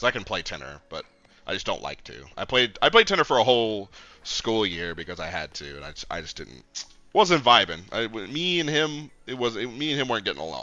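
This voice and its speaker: At a fairly quick pace, a man speaks at a medium pitch with very wide pitch swings. Vocal fry and big swings in loudness mark his delivery. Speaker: gaming streamer. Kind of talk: casual gameplay commentary. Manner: animated.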